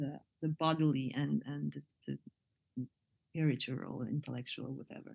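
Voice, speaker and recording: A woman with a Bosnian accent talks at a moderate pace, pausing often and at length. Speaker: poet and artist. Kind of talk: interview conversation. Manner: hesitant, with fillers.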